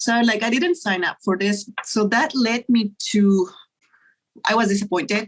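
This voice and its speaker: A woman speaks at a fairly slow pace in a somewhat breathy, fairly high voice. Her loudness stays very even, and her pitch varies in an ordinary way. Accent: Spanish. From Mexico. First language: Spanish. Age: 60s. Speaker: pathologist. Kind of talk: interview.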